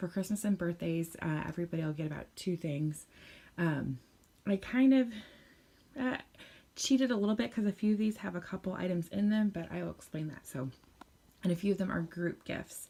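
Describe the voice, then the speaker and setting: A woman's fairly low, somewhat breathy voice with a dark, mellow tone, lively intonation, a fairly quick pace and long, frequent pauses. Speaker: parenting vlogger. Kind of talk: casual chat. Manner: quiet.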